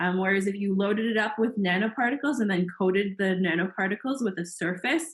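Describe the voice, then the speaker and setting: A somewhat breathy woman's voice at a very fast pace, with very even loudness. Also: medium pitch for a woman, ordinary pitch variation, hardly any pauses. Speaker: science workshop instructor. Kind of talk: lecture.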